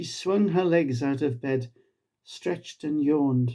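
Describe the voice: A man speaks slowly in a dark, mellow tone, his pitch fairly high for a man with ordinary pitch variation.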